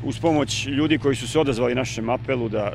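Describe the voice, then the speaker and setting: Over light background noise, a man talks in a monotone, flat intonation. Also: dry sound with no echo. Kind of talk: interview answer. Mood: calm, matter-of-fact. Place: open country. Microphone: handheld.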